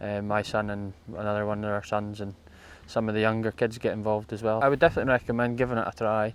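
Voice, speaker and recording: A man with a northeast Scottish accent talks very fast in a fairly low, monotone, flat voice. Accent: Scottish (north-east). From Scotland, Moray coast. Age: 30s. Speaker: amateur enduro rider. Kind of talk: interview. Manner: halting.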